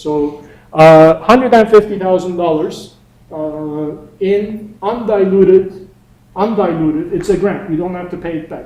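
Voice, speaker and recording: A man with a Turkish accent, high pitch, ordinary pitch variation and moderate pace, with audible room echo. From Turkey. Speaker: entrepreneur and workshop instructor. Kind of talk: lecture. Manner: casual, conversational.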